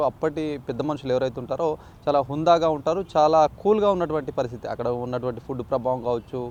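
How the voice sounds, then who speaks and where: A man speaks in an ordinary speaking voice. His pitch sits fairly high for a man, with ordinary pitch variation. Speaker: news channel interviewer. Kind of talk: interview questions.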